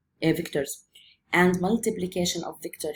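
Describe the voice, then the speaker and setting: A woman with a somewhat breathy, medium-pitched voice speaks at a moderate pace with fairly even intonation. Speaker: physics teacher. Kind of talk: lecture.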